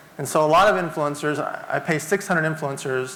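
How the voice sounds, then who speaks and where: A man talks at a very fast pace in a fairly high pitch. Audible room echo and noticeable background noise fill the recording. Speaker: entrepreneur and keynote speaker. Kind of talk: keynote talk.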